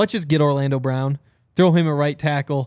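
In a very clean recording with a silent background, a man uses a normal speaking voice, fairly high in pitch, with ordinary pitch variation at a moderate pace. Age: 20s. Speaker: sports podcast co-host. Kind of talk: casual sports talk. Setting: live show at a bar.

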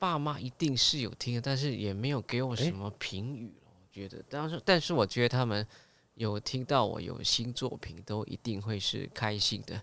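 A man at medium pitch and a moderate pace, with ordinary pitch variation and big swings in loudness, in a very clean recording with a silent background. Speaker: singer and TV host. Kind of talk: casual interview chat.

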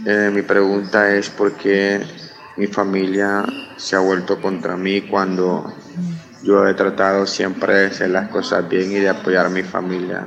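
Against noticeable background noise, a man with a Honduran accent speaks at a fairly slow pace and a fairly low pitch, in a monotone, flat intonation with very even loudness. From Honduras. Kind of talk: recorded viewer question.

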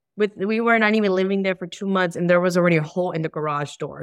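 Here is a woman with an unremarkable speaking voice and an American accent. Her pitch is fairly low and her intonation fairly even. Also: quiet background. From Chicago. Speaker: career coach, homebuilding client. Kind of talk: casual interview chat.

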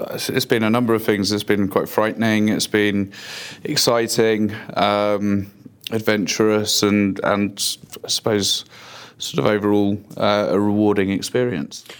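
Here is a man with a London accent and fairly low pitch. He speaks at a fairly slow pace with fairly even intonation. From London, England. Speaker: recruiter. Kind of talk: casual interview. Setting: office.

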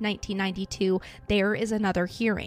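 A woman's intonation stays fairly even. Behind her, music is playing. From Idaho, US. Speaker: true crime podcast host. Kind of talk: true crime narration. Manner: casual, chatty.

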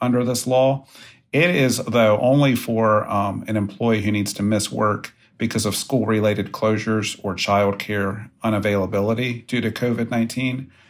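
The pace runs fairly quick. It is a normal speaking voice, and its pitch varies in an ordinary way. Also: man. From West Virginia. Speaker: employment lawyer. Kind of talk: interview.

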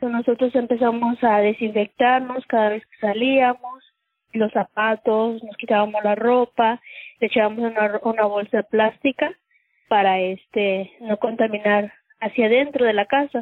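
This woman talks at a moderate pace with a fairly high pitch and fairly even intonation. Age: 30s. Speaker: cleaning worker and patient's mother. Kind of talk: personal testimony. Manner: halting, with filler words.

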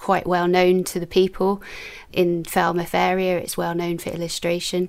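A woman speaks in a Welsh accent at a medium pitch. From Newport, South Wales. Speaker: illustrator and YouTuber. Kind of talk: casual interview chat.

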